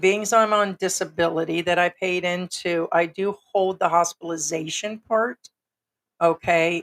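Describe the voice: A woman speaks at a moderate pace in a fairly low, fairly bright voice with fairly even intonation, and the sound is dry and close with no echo.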